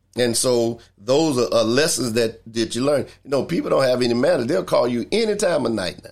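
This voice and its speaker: A man speaks at a fairly quick pace in a medium pitch, with lively intonation and hardly any pauses. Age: 60s. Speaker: church minister hosting a talk podcast. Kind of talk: livestreamed inspirational talk. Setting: live video stream. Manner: repetitive, preacher-like emphasis.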